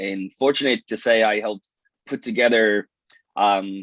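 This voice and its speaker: A man talks with a New York accent. His pitch is fairly low and his pace is moderate. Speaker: police detective and research scientist, event moderator. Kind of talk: event opening remarks.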